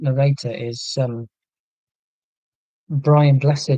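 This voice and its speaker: Speaking at a very slow pace, a man with a fairly high pitch sounds dark and mellow and somewhat breathy, keeping his intonation fairly even. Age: 40s. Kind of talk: live stream chat reading viewer comments.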